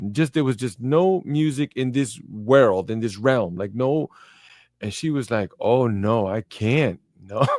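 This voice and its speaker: With an American accent, a man talks at a fairly slow pace in a medium pitch, his tone animated and his intonation lively, on a very clean recording with a silent background. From New York, Brooklyn. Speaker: podcast host. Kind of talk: casual interview chat.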